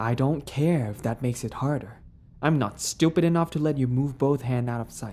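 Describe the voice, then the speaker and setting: A woman's very deep, low voice with a menacing tone, moderate pace and ordinary pitch variation. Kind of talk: dramatic scripted roleplay narration. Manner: sassy, teasing, menacing, swaggering, with laughs; softening to vulnerable and tender.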